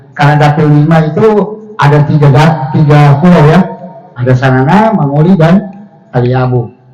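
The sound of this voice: Against audible room echo, a voice with a dark, mellow tone speaks at a moderate pace with ordinary pitch variation. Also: man, fairly high pitch for a man.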